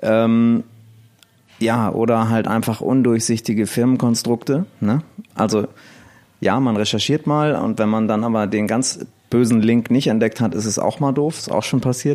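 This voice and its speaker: This man has a medium-pitched voice with a dark, mellow tone, speaking at a moderate pace with fairly even intonation. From northern Germany, near Elmshorn (Schleswig-Holstein). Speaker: DJ and blogger. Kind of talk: casual interview chat.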